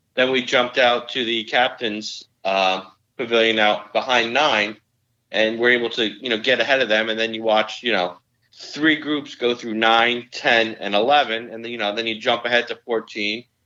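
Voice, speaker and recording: A man's medium-pitched voice with a New Jersey accent, at a moderate pace with fairly even intonation. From northern New Jersey. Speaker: amateur golfer. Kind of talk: casual chat.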